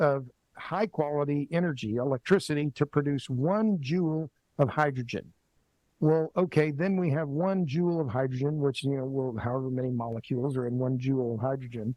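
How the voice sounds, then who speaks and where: A man speaks with a fairly high pitch and ordinary pitch variation. It is an unremarkable speaking voice. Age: 60s. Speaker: energy writer and commentator. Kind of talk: podcast interview.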